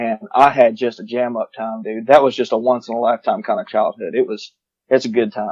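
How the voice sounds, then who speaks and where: A man speaks at a fairly quick pace in a Southern US accent. His medium-pitched voice stays monotone and flat. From New Orleans and Southeast Georgia. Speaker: hunting podcaster. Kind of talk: casual chat.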